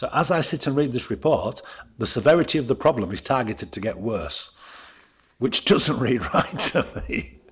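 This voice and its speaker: This man's voice has a medium pitch and vocal fry. His pitch swings very widely. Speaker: councillor. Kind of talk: committee meeting.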